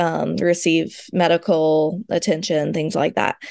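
Over a quiet background, a woman with a plain, everyday voice speaks fairly slowly in a dry, close sound with no echo. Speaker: author, speaker and foster parent. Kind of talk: interview about personal loss.

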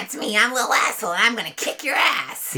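This is a put-on character voice with a fairly high pitch. It moves at a very fast pace. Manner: aggressive, bratty.

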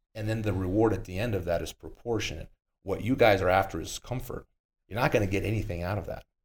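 In a very clean recording with a silent background, a man talks at a very fast pace in a fairly low, somewhat breathy voice with ordinary pitch variation. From Brazil. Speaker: jiu-jitsu podcast co-host. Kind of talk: casual chat.

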